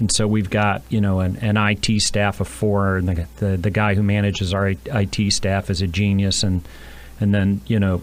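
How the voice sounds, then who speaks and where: Fairly low-pitched male speech at a moderate pace, its pitch variation ordinary. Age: 60s. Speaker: business owner. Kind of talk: interview. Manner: halting.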